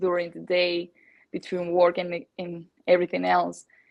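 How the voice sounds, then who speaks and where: This woman speaks at a fairly slow pace in a Spanish accent. Her pitch sits fairly low. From Colombia. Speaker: natural bikini bodybuilding athlete. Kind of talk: podcast interview. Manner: halting, many fillers and repetitions.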